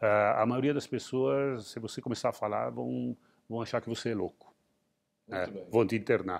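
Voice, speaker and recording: A man's fairly low voice at a moderate pace, with ordinary pitch variation, long, frequent pauses and a quiet background. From Rio Grande do Sul, Brazil. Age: 60s. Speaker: entrepreneur and investor. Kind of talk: interview. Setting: museum.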